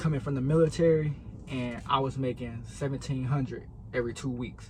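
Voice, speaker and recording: A man speaks fairly quickly in a somewhat breathy voice. His medium pitch stays at a fairly even intonation. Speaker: truck driver and vlogger. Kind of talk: casual vlog talk to camera. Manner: fast.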